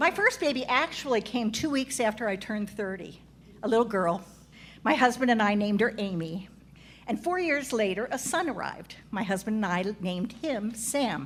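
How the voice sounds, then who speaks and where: A somewhat breathy woman's voice, fairly high in pitch, at a moderate pace, very cleanly recorded against a silent background. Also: lively intonation. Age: 70s. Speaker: comedic storyteller, cast member of a live show. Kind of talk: live stage monologue. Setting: stage with live audience.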